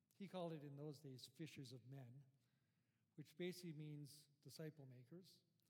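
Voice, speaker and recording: A man's somewhat breathy, fairly high voice at a fairly quick pace, with long, frequent pauses. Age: 50s. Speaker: guest pastor. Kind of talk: sermon. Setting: church.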